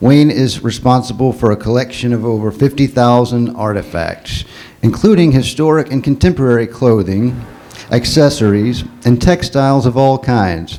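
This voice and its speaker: Medium pitch for a man, with ordinary pitch variation. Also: moderate pace. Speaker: panel moderator. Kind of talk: panel introduction.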